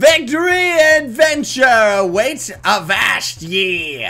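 A man puts on a character voice at an extremely high pitch, talking very slowly with very wide pitch swings.

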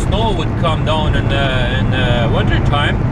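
With loud background noise behind him, a man speaks at a moderate pace in a dry sound with no echo. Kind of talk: casual vlog chat. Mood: relaxed, admiring. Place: car. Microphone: camera far.

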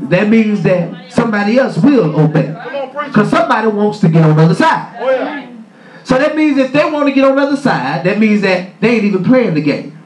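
A man's voice with very wide pitch swings and a fairly quick pace, audible room echo and light background noise. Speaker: preacher. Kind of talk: sermon. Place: church. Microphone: camera far.

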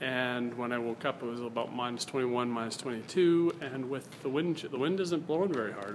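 A man at a moderate pace, with ordinary pitch variation and light background noise. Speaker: vlogger. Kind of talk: casual vlog chat. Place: hall. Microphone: phone near.

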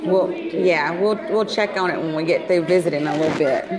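Over noticeable background noise, a woman with a fairly low pitch speaks at a moderate pace with ordinary pitch variation. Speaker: grandchild visiting grandfather. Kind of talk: casual family conversation. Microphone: phone near.

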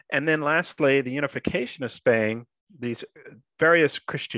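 The quiet background and dry sound with no echo frame a man with an American accent using ordinary pitch variation. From South Texas. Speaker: history professor. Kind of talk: lecture. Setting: video call. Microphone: video call.

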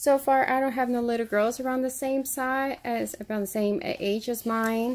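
A woman's fairly high-pitched voice, fairly even intonation, moderate pace.

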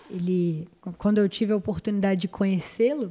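At a moderate pace, a woman speaks in a medium pitch with ordinary pitch variation, a somewhat breathy quality and a dark, mellow tone. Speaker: podcast host. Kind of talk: casual interview. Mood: warm, reflective. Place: studio. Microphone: studio mic.

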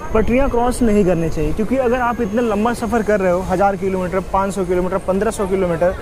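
A man with a high pitch speaks at a moderate pace with ordinary pitch variation, the sound dry with no echo and crowd noise in the background. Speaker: travel vlogger. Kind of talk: casual vlog chat. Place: train. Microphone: lapel.

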